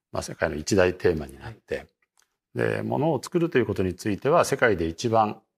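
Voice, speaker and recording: Fairly low in pitch and at a fairly quick pace, a man speaks with vocal fry, very wide pitch swings and big swings in loudness. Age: 60s. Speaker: market strategist. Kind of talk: interview.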